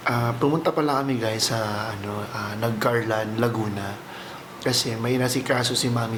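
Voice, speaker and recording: Pitched at medium height, a man speaks at a fairly slow pace with fairly even intonation. There is noticeable background noise and audible room echo. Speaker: vlogger. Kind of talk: casual vlog talk to camera. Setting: at home.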